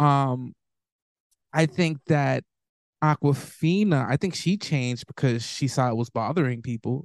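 With an American accent, a man with a fairly high pitch speaks at a fairly slow pace, leaving long, frequent pauses. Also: ordinary pitch variation, dry, close sound with no echo. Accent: shifts with who he talks to. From US inner city. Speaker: podcast co-host. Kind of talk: casual chat.

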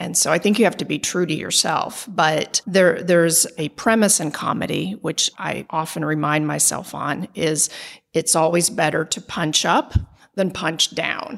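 Here is a woman with an ordinary speaking voice and a fairly low pitch. She talks at a fairly slow pace with ordinary pitch variation. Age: 40s. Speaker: lawyer and stand-up comedian. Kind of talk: interview conversation.

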